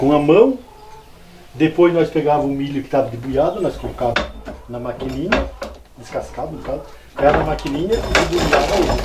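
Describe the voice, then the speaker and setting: Noticeable background noise behind a man at moderate speed, his pitch varying in an ordinary way. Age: 60s. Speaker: farmer. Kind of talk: oral history interview. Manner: halting.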